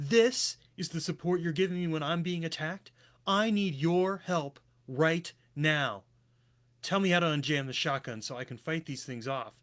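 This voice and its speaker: Using a put-on character voice, a man growls at a fairly high pitch with lively intonation and a moderate pace. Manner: snarling, aggressive.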